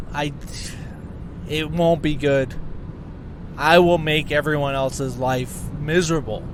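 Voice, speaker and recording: A man with a fairly high pitch talks at a fairly slow pace, leaving long, frequent pauses. Noticeable background noise and audible room echo fill the recording. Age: 30s. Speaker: podcast host. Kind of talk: casual monologue. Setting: in a car, driving. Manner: rambling, halting with fillers.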